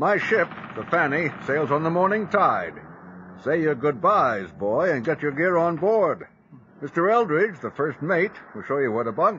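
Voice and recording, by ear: Putting on a character voice, a man speaks at a moderate pace with a husky, rough edge, a fairly bright tone, fairly high pitch and big pitch swings.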